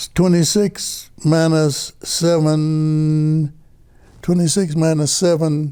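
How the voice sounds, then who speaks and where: A man's fairly high-pitched voice, dark and mellow in tone, flat and monotone at a very slow pace. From Chicago, US Midwest (born in Mississippi). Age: 80s+. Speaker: ski club co-founder. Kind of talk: oral history interview. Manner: halting.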